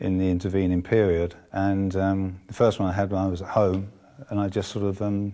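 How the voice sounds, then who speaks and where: A man's dark, mellow tone, fairly low in pitch, at a moderate pace. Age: 70s. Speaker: heart patient. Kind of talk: testimony. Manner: halting, with many fillers.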